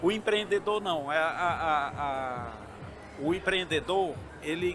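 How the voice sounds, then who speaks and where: With noticeable background noise, a man speaks at a fairly slow pace and a high pitch, using ordinary pitch variation. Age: 60s. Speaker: entrepreneur and university chancellor. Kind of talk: interview. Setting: event booth at trade fair. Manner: halting.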